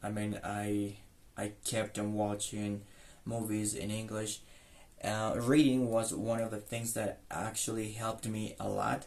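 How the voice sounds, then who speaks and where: In a slight Mexican accent, a man speaks slowly-ish at a fairly slow pace and fairly low pitch, with monotone, flat intonation and audible room echo. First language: Spanish. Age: 20s. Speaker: English tutor. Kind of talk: self-introduction monologue. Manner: halting, many fillers and repetitions.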